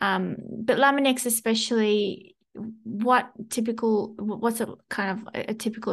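A somewhat breathy, fairly high-pitched woman's voice with an Australian accent, flat and monotone, against a quiet background. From Sydney, Australia. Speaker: corporate podcast host. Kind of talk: casual interview chat. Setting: video call with screen share.

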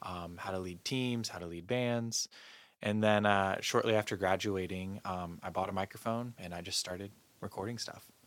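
In a normal speaking voice, a man talks at a moderate pace with a fairly low pitch and fairly even intonation on a very clean recording with a silent background. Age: 30s. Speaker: mixing and mastering engineer. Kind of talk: casual interview.

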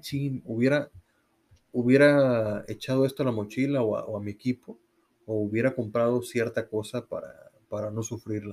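At a fairly slow pace, a man talks with a medium pitch. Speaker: cycling podcast co-host. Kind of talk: casual chat.

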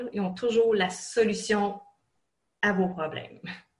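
In a room with audible echo, a woman talks very slowly at a medium pitch in a somewhat breathy voice. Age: 40s. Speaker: online college student. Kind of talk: interview.

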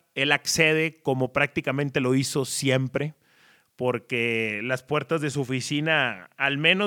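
This man talks at a fairly slow pace in a fairly high pitch with ordinary pitch variation. He has a plain, everyday voice. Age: 30s. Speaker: sports journalist and podcaster. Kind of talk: storytelling monologue.

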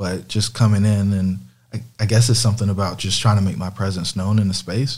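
At a fairly quick pace, a man with a fairly low pitch sounds somewhat breathy, keeping his intonation fairly even. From US South. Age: 30s. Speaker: real estate investor. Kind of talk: interview. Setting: in person with host.

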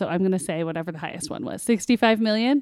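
In a very clean, dry, close recording with a silent background and no echo, a woman uses an ordinary speaking voice with lively intonation. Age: 40s. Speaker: trivia contestant and parent. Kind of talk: casual chat.

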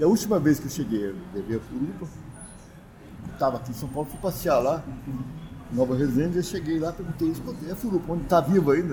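A man with a fairly high pitch, very wide pitch swings and a very fast pace, over noticeable background noise. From southern Minas Gerais, Brazil. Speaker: folklore association co-founder and cachaça judge. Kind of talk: casual interview, storytelling.

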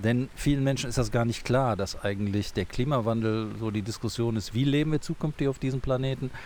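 Spoken at a moderate pace with ordinary pitch variation, this is a plain, everyday voice. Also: man. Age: 60s. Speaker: zoo director. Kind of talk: casual interview. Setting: outdoors on a bench.

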